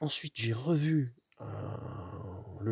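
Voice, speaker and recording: A soft-spoken man sounds somewhat breathy, with ordinary pitch variation. The sound is dry and close, with no echo. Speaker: hunter. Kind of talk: casual vlog narration. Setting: outdoors in a hunting hide. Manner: halting, many repetitions.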